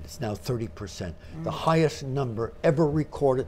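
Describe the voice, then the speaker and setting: Somewhat breathy and dark, mellow in tone, a man speaks at a fairly quick pace with lively intonation. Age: 80s+. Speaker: mentalist and entertainer. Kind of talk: interview answer.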